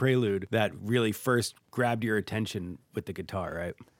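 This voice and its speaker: A man talks at a fairly quick pace with ordinary pitch variation in an unremarkable speaking voice. The sound is dry and close with no echo, and the recording is very clean with a silent background. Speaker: radio host and pianist. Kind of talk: radio music show hosting and interviews. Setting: recording studio.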